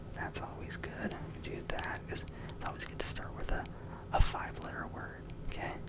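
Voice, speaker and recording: Someone whispers in a relaxed tone, the loudness swinging widely. Noticeable background noise runs underneath. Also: man, moderate pace. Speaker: ASMR creator. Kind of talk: ASMR game play, casual talk to camera. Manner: soft-spoken, whispered, relaxed.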